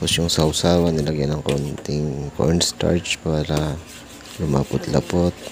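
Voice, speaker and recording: The speaker is soft-spoken, with monotone, flat intonation at a fairly slow pace. Noticeable background noise runs underneath. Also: man, very deep, low pitch for a man. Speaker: vlogger. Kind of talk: voice-over narration.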